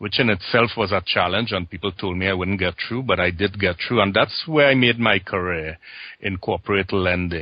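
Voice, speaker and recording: A man with a Trinidadian accent and a very deep, low pitch, with ordinary pitch variation at a moderate pace. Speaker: transformation coach and former banker. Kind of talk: interview.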